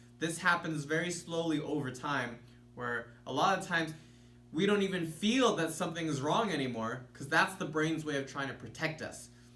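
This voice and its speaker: Over noticeable background noise and audible room echo, a man sounds excited, his pitch fairly high. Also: ordinary pitch variation. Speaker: self-healing coach. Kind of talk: tutorial. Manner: excited earlier in video; slowed, relaxed pace.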